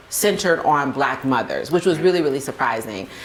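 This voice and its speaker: A woman speaks with a very deep, low pitch and ordinary pitch variation. Noticeable background noise and audible room echo surround her voice. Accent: American. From US South, Spartanburg, South Carolina. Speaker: podcast co-founder and mother. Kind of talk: interview. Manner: casual, many fillers.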